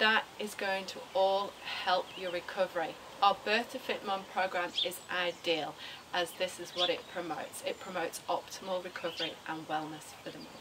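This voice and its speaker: At a moderate pace, a woman talks with fairly even intonation against noticeable background noise. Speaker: fitness instructor. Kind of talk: tutorial. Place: garden.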